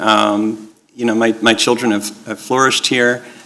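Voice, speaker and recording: A man's voice with noticeable background noise. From Israel. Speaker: school board candidate. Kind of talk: opening statement at candidate forum. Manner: halting, many fillers.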